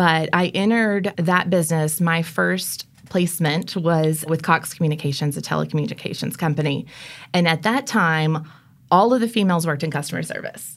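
Talking at a fairly quick pace, a woman uses an ordinary speaking voice at a fairly low pitch with ordinary pitch variation. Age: 30s. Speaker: marketing executive. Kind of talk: interview.

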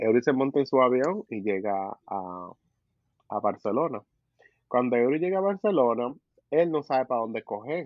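Lively male speech at medium pitch and moderate pace, broken by long, frequent pauses. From Caribbean, US Virgin Islands with Dominican parents. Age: 20s. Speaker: podcast co-host, engineer. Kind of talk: casual chat.

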